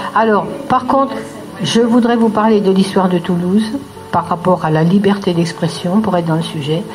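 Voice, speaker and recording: Music plays in the background. A woman speaks with ordinary pitch variation. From France. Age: 80s+. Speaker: retired teacher, rally speaker. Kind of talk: public speech at a rally.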